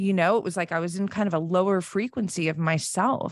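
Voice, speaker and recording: With an American accent, a woman talks in an unremarkable speaking voice, fairly low in pitch, at a moderate pace. Her intonation is fairly even, and the background is quiet. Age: 40s. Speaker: self-mastery coach and podcaster. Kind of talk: casual interview chat.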